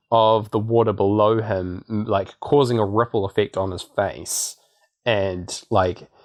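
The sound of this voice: Against a quiet background, an unforced reading voice keeps its intonation fairly even.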